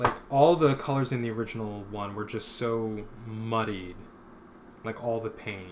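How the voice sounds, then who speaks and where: Speaking with an American accent, a man keeps a moderate pace and medium pitch with ordinary pitch variation. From Philadelphia, Pennsylvania. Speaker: comic artist streamer. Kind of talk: casual live-stream chat while painting. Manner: mumbling, not projecting much.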